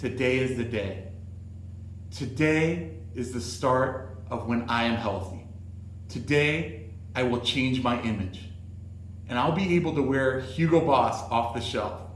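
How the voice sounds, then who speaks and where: A man with a medium-pitched voice speaks fairly slowly, pausing long and often. The room echo is audible, and background noise is noticeable. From US West Coast, Los Angeles. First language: Greek. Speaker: sales executive, presenter. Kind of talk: presentation.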